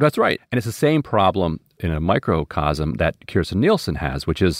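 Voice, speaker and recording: Vocal fry runs through a man's moderately paced speech, his intonation lively. The sound is dry and close, without echo. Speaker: political analyst. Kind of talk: interview analysis.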